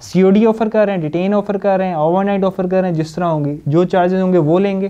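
A man's high-pitched voice, clear and smooth yet dark and mellow, at a fast pace with fairly even intonation.

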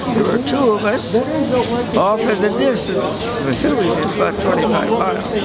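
Loud background noise surrounds the speech. A man talks through it at a moderate pace. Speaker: World War II veteran. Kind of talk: interview answer.

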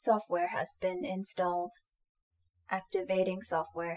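A woman's robotic, put-on character voice at medium pitch and a fairly slow pace. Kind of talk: audio roleplay. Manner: formal, mechanical.

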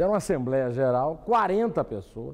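Pitch swinging very widely, a man speaks at a fairly slow pace. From Brazil. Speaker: political commentator. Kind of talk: TV opinion commentary. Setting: TV studio. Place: studio. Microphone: lapel.

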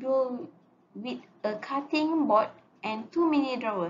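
Amid light background noise, a woman speaks at a fairly slow pace with a high pitch and lively intonation. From Malaysia. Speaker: student; presenter. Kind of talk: class presentation. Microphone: webcam.

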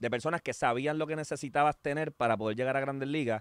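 Against a quiet background, a man speaks with fairly even intonation. The sound is dry, with no echo. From Puerto Rico. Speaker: podcast host, former baseball player; podcast host. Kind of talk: casual chat. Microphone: studio mic.

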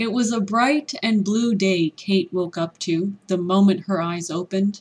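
A woman's somewhat breathy, medium-pitched voice at a very slow pace, against a quiet background. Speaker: ESL teacher. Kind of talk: read story for language learners.

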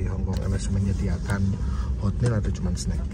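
The speech moves at a very fast pace, with a dry sound, no echo, and loud background noise. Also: man. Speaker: travel vlogger. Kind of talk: casual vlog chat. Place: plane. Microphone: phone near.

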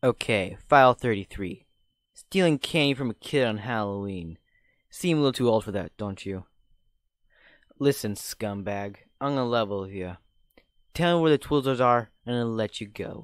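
A man puts on a gruff character voice, medium in pitch, with lively intonation at a moderate pace and long, frequent pauses. The recording is very clean, with a silent background. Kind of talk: hard-boiled cop parody. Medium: cartoon. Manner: gruff, impatient.

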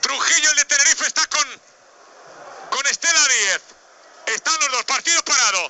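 Extremely high-pitched and animated, a man speaks with long, frequent pauses. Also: ordinary pitch variation. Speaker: sports commentator. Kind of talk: live sports commentary on a match, narrated as a fan. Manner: animated, tense and excitable, rapid-fire with repeated phrases; jokey, with quips mixed into the play-by-play.

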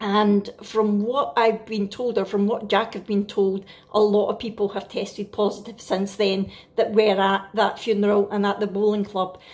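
In a Scottish accent, a woman talks at a moderate pace and medium pitch. Her intonation is flat and monotone. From Scotland. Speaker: family vlogger. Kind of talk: casual vlog talk to camera. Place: kitchen.

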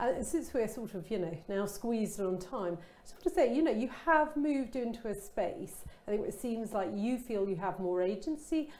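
A woman at a moderate pace with a fairly high pitch, big swings in loudness, and hardly any pauses. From Kent, England. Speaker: interviewer. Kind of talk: casual chat. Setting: online event. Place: studio. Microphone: lapel.

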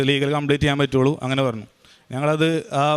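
A man's fairly high voice stays monotone, with flat intonation. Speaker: student. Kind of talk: testimony.

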